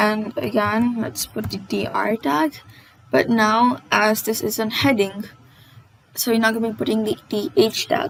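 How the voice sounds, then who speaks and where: A woman's fairly high, somewhat breathy voice with lively intonation at a fairly slow pace. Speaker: coding tutorial host. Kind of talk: casual tutorial narration. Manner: stammers often.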